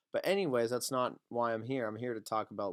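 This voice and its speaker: Recorded very cleanly against a silent background, a man speaks at a medium pitch with fairly even intonation in a dry, close sound with no echo. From Maine, US. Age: 20s. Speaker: rapper and vlogger. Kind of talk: casual vlog monologue. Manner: hesitant, many fillers.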